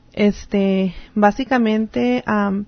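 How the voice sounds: A woman speaks at a very slow pace, with medium pitch and fairly even intonation.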